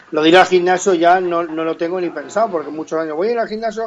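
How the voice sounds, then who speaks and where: Amid noticeable background noise, a man talks at a very fast pace in a high voice with ordinary pitch variation. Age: 30s. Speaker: comedian and impressionist. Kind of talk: casual chat.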